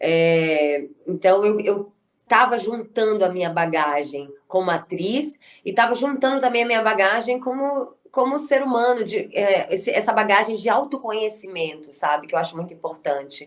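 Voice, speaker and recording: Her voice is fairly high for a woman. The pitch swings very widely as she talks. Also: moderate pace. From Brazil, Bahia (Salvador). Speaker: actress and writer. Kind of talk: interview.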